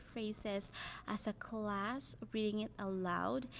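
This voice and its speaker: A woman with a Filipino accent and fairly high pitch, at a fairly slow pace. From Philippines, Cebuano-speaking region. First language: Cebuano. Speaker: language learner sharing her story. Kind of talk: personal narrative, semi-scripted.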